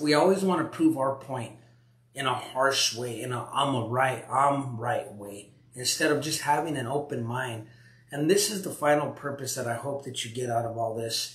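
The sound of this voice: A man speaks with a fairly bright tone and ordinary pitch variation. Audible echo from the room surrounds his voice. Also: medium pitch for a man, moderate pace.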